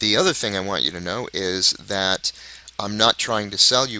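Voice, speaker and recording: At a moderate pace, a man with a raspy voice, a bright, sharp tone and a fairly low pitch keeps his intonation fairly even. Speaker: product reviewer, online marketer. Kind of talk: video review monologue.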